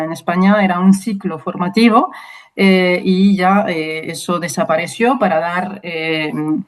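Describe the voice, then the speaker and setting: A slight French accent with ordinary pitch variation. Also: woman. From France, Brittany (Rennes). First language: French Sign Language and French (speaking Spanish). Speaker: university lecturer and sign language interpreter. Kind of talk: interview. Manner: hesitant, many fillers.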